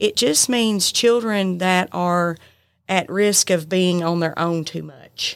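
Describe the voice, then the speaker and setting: A woman with a Southern US accent talks at a very slow pace, her pitch medium with ordinary variation. The recording is very clean, with a silent background. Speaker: librarian. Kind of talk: casual chat. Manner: loud.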